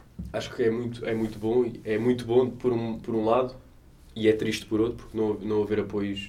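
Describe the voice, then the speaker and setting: In a European Portuguese accent, a man speaks at a fairly quick pace with a medium pitch, a dark, mellow tone and monotone, flat intonation, with audible room echo. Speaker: podcast co-host. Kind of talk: casual chat.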